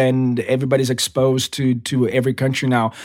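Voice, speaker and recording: A man at medium pitch with a Portuguese accent. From Brazil, São Paulo. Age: 30s. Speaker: TV director. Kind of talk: casual interview chat.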